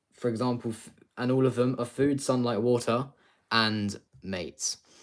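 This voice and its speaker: A man with a British accent speaks at a moderate pace in a medium pitch, his intonation fairly even. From UK. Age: 20s. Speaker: streamer. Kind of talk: live stream revision session. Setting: live stream. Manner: halting.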